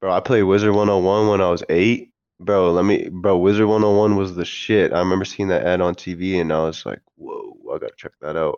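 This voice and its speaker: A man with an ordinary speaking voice talks at a fairly quick pace with hardly any pauses. His pitch is fairly low and his intonation fairly even. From US, Maine and moved around. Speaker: podcast guest. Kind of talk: casual chat.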